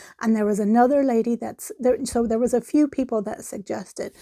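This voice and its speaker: A woman with an American accent talks at a fairly quick pace, her fairly high pitch, lively intonation and dark, mellow tone captured in a very clean recording with a silent background and a dry, close sound with no echo. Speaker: knitting podcaster. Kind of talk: casual chat. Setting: at home near yarn stash. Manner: rambling, conversational with fillers.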